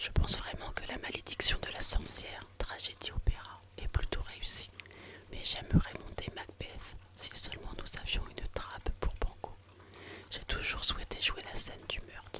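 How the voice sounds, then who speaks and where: Noticeable background noise fills the clip. Through it, a woman whispers at a fairly slow pace. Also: big swings in loudness. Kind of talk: whispered novel reading, narration with dialogue. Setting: intended for headphones, bedtime relaxation. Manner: whispered, soft, relaxing.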